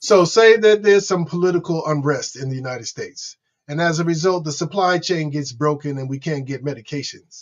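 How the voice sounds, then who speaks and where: A man talks at a fairly quick pace with fairly high pitch. His loudness swings widely while pitch variation stays ordinary. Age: 60s. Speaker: podcast host living with HIV. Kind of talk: interview. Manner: halting.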